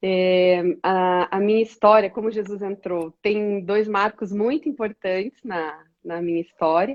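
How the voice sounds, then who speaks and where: An ordinary speaking voice, delivered at a fairly slow pace with ordinary pitch variation. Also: woman, medium pitch for a woman. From interior of Paraná, Brazil (Toledo). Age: 40s. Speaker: women's ministry leader. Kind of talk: testimony.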